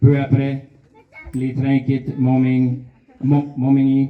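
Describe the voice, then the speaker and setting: A man with a Canadian French accent, medium pitch and a very slow pace. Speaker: Canadian official representative. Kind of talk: commemorative speech.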